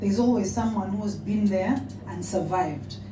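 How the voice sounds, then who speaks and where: With a Ugandan accent, a woman speaks at a moderate pace amid noticeable background noise and audible room echo. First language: a Ugandan language. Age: 40s. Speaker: politician and author. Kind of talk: speech. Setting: awards dinner with audience.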